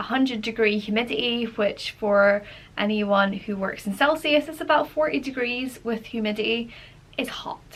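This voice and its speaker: A woman speaks with a Scottish accent at a fairly high pitch. Her pace is moderate and her pitch variation ordinary. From Scotland. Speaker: travel and life vlogger. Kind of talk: casual talk to camera.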